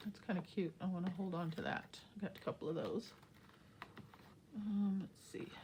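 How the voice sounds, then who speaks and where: A somewhat breathy voice with a dark, mellow tone, fairly even intonation, a moderate pace and long, frequent pauses. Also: woman, medium pitch for a woman. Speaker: crafting YouTuber. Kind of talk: casual craft tutorial.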